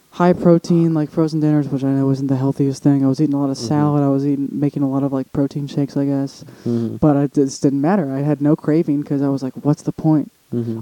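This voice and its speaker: A man's very fast delivery with hardly any pauses, fairly even intonation, and a dry, close sound with no echo. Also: fairly high pitch for a man. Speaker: podcast co-host. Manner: casual, rambling.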